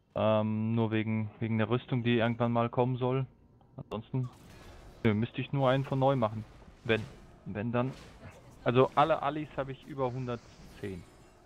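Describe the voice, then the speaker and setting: Music plays in the background as a man speaks with fairly even intonation. He leaves long, frequent pauses. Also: medium pitch for a man, moderate pace. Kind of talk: casual chat.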